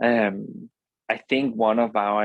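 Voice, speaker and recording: A man with a Danish accent, fairly low in pitch and monotone with flat intonation, in a dry, close sound with no echo. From Denmark. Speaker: company co-founder, entrepreneur. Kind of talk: interview. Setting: podcast. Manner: halting, many fillers.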